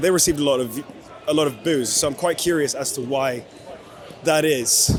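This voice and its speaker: A man talks at a medium tempo with a fairly high pitch and ordinary pitch variation, noticeable noise running behind him. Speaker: vlogger, F1 fan at a race. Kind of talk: travel vlog. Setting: outdoors at a racetrack.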